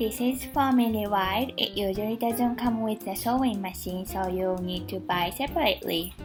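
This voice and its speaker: A woman with a non-native accent over music in the background. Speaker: seamstress. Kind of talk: sewing tutorial narration.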